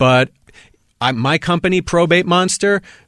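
In a normal speaking voice, a man with an American accent talks at a moderate pace with ordinary pitch variation, the sound dry and close with no echo on a very clean recording with a silent background. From Milwaukee, Wisconsin. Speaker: estate planning lawyer. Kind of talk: casual interview.

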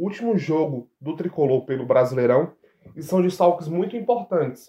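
A man's fairly high-pitched, plain, everyday voice, fairly quick, with ordinary pitch variation. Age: 20s. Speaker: sports reporter. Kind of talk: casual sports chat.

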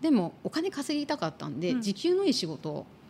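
A woman with lively intonation. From Tokyo, Japan. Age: 50s. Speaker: career consultant and podcast co-host. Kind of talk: casual interview chat.

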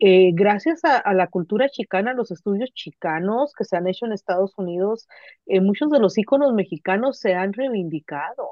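A woman with a normal speaking voice talks at a moderate pace, medium in pitch and lively in intonation. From Mexicali, Baja California, Mexico. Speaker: literature professor. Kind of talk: casual conversation.

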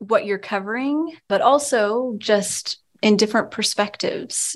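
This woman has a normal speaking voice at medium pitch. The background is quiet. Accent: American. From Texas. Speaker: newspaper reporter. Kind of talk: interview.

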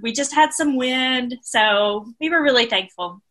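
A woman's high, raised and projected voice with a bright, sharp tone, ordinary pitch variation and a very slow pace. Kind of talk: casual chat.

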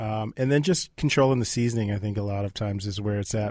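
Someone with an American accent speaks in a normal speaking voice with fairly even intonation. The recording is very clean, with a silent background. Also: man. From Minnesota, Twin Cities suburbs. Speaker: chef. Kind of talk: interview. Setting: studio.

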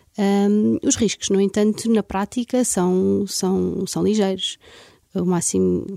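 Ordinary pitch variation marks a woman's voice that sits at a medium pitch. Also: dry, close sound with no echo. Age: 30s. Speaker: aesthetic medicine doctor. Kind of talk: interview. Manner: halting.

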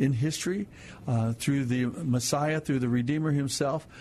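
The delivery moves at a moderate speed. Its intonation is fairly level. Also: man. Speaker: radio Bible program host. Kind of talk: Bible teaching on radio call-in show. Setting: studio. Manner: soothing, sleep-inducing.

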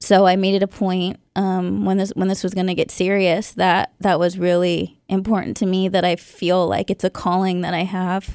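A woman of medium pitch speaks at a moderate pace with monotone, flat intonation and hardly any pauses. The recording is very clean with a silent background. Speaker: radio show co-host. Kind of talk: casual chat. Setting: studio.

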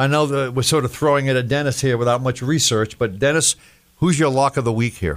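At a very fast pace, a man speaks at a medium pitch with ordinary pitch variation and very even loudness. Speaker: sports podcast host. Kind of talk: casual chat. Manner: joking, chatty.

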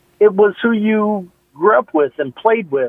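Speaking at a fairly slow pace with lively intonation, a man uses an unremarkable speaking voice in an American accent. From Nebraska. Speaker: caller. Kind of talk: radio call-in. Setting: phone call.

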